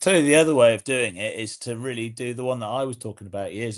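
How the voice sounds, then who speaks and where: A man with an English accent speaks at a very fast pace, with ordinary pitch variation. The background is quiet. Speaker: podcast host. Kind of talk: casual chat. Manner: halting, repeats words.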